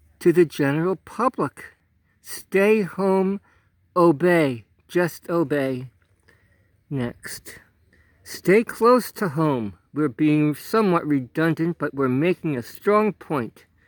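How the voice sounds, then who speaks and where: On a very clean, dry recording with a silent background and no echo, a man with a high pitch and lively intonation speaks very slowly, with long, frequent pauses. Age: 70s. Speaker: outdoors vlogger. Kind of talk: casual vlog with sarcastic commentary. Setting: outdoors in a state park.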